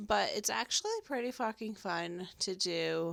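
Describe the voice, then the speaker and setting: A woman with a medium-pitched voice speaks at a fairly slow pace on a very clean recording with a silent background. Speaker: podcast host. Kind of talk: casual monologue. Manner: rambling.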